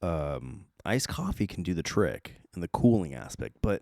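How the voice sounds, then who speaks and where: In a dry, close recording with no echo, a man with a very deep, low pitch and vocal fry talks at a fairly slow pace with lively intonation. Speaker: podcast host. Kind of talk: casual chat. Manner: halting.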